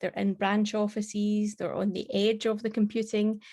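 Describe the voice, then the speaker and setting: In a Scottish accent, a woman with a fairly high pitch and a dark, mellow tone speaks at a moderate pace in a monotone, flat way, on a very clean recording with a silent background. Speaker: tech conference speaker. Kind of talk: tech presentation.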